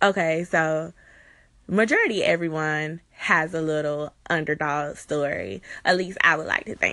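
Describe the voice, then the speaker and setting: Bright and sharp in tone, a woman with an American accent speaks at a very deep, low pitch. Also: ordinary pitch variation, fairly slow pace. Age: 20s. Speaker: podcast host. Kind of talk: casual chat.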